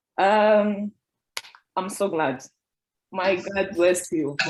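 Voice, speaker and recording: A woman talks at a medium pitch with a non-native accent. Her pace is very slow. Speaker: ESL student. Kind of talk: testimony. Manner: halting.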